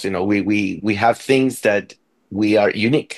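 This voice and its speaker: A man speaks with a Spanish accent. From Venezuela. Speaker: orchestra conductor. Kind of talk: interview. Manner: halting, many repetitions.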